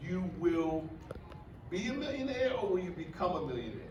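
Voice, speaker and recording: Amid noticeable background noise and audible room echo, a high-pitched man speaks at a fairly slow pace in an animated tone. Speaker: motivational speaker. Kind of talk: workshop talk. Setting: stage with audience.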